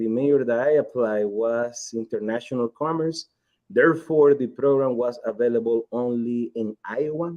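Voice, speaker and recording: A man with fairly even intonation and a Nicaraguan accent. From Nicaragua, Esteli. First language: Spanish. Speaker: cigar company executive. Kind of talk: interview.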